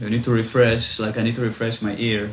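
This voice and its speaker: This man's voice sits at a medium pitch, with audible room echo around it. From Israel. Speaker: electronic music producer. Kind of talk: interview.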